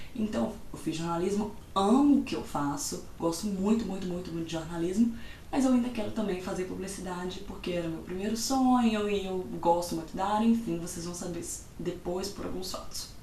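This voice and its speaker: With a Minas Gerais accent, a woman speaks at a moderate pace and medium pitch with ordinary pitch variation, amid noticeable background noise and audible room echo. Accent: Mineiro Brazilian Portuguese. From Minas Gerais, Brazil. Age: 20s. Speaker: vlogger. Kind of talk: casual vlog talk.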